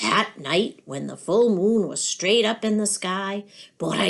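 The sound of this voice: Reading done in an unforced reading voice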